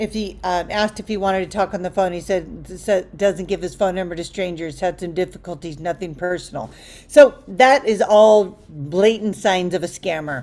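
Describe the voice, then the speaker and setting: A woman talks in a normal speaking voice at a medium pitch. Her pace is moderate, with ordinary pitch variation. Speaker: dating coach. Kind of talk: online group coaching class. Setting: group video call. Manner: conversational, many fillers.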